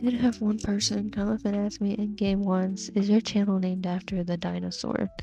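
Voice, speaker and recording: A woman's medium-pitched, monotone, flat delivery at a moderate pace with hardly any pauses, over music in the background. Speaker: online video content creator. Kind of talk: casual Q&A talk to camera.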